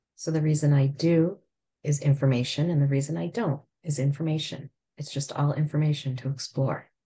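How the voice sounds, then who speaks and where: A woman's very deep, low voice, somewhat breathy, dark and mellow in tone, at a fairly quick pace. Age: 50s. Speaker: podcast host. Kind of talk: casual chat.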